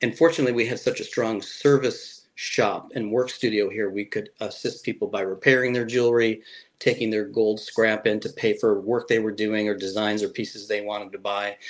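With a normal speaking voice, a man talks at a fairly quick pace and medium pitch, fairly even intonation and hardly any pauses, over a quiet background. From Chicago area, US Midwest. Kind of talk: interview.

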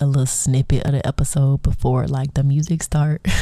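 A woman's very deep, low voice over noticeable background noise. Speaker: podcast host. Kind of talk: casual solo podcast monologue.

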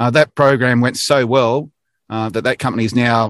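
With an Australian accent, a man speaks at a medium pitch and a fairly quick pace. His tone is enthusiastic. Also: dry, close sound with no echo, very clean recording, silent background. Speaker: manufacturing industry director. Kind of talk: casual interview, informative update. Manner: many filler words (uh, um).

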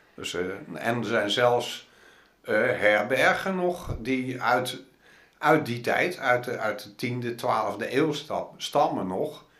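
A man speaks at a very slow pace with lively intonation, and the room echo is audible. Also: medium pitch for a man. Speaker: pilgrim and long-distance walker. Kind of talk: interview. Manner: halting.

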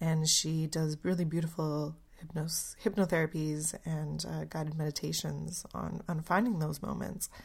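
A woman speaks in a very deep, low voice with a Canadian accent, sounding somewhat breathy. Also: very clean recording, silent background. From Canada. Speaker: podcast host. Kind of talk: solo reflective podcast monologue.

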